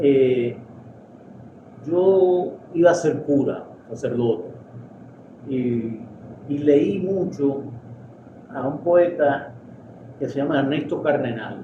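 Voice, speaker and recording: Amid noticeable background noise and audible room echo, a man speaks very slowly with long, frequent pauses. His fairly high pitch shows ordinary variation. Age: 60s. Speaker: poet and literary critic. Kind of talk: interview. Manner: halting.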